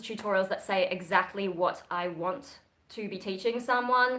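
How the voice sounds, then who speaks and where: A woman with a slight Australian accent speaks at a moderate pace in a bright, sharp tone, her pitch varying in an ordinary way. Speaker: metal vocalist and livestreamer. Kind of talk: livestream chat with viewers. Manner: casual, filler-heavy.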